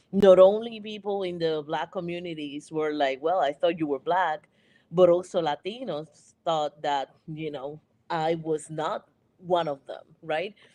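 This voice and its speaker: A woman with a Puerto Rican accent speaks at a fairly low pitch and a fairly slow pace, in a dark, mellow tone. Her loudness swings widely, with ordinary pitch variation. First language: Spanish. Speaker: panelist. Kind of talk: panel discussion.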